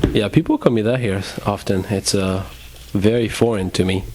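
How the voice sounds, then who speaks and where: A man speaks in a French accent with a fairly low pitch. His speech has long, frequent pauses. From France. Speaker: podcast co-host. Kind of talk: casual chat.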